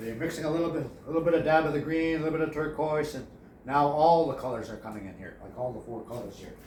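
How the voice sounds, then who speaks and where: Mumbling at a fairly quick pace, a man with a fairly high pitch is heard amid audible room echo and noticeable background noise. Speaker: painting instructor. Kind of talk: tutorial. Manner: halting.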